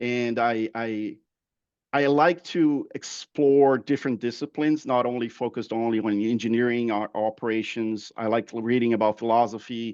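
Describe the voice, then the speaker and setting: With a Brazilian Portuguese accent, a man talks at a moderate pace in a medium pitch. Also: fairly even intonation, quiet background. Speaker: process improvement manager. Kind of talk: webinar interview. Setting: online webinar. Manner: halting, many fillers and repeats.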